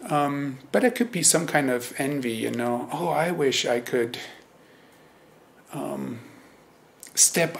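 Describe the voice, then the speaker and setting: This man speaks fairly slowly with a German accent. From Germany. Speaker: Zen teacher. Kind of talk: dharma talk. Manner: hesitant, many fillers.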